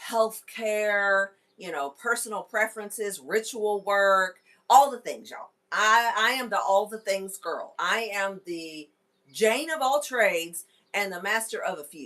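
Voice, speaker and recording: A woman speaks at a fairly slow pace in a bright, sharp tone. Her pitch is fairly high, with ordinary variation and big swings in loudness. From Kentucky. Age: 40s. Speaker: wellness podcast host. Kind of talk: casual live stream chat. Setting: live stream with headset microphone. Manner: animated.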